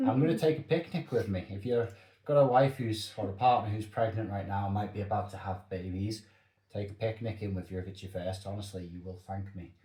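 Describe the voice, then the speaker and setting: At a fairly quick pace, a man talks with a fairly low pitch, ordinary pitch variation, a somewhat breathy, dark and mellow tone, and big swings in loudness. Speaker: father sharing family experiences. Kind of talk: casual chat. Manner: soft-spoken.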